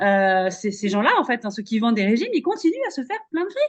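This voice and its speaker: A woman's high voice at a fairly quick pace, with very wide pitch swings over a quiet background. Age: 40s. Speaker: podcast host and career coach. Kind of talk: casual interview chat.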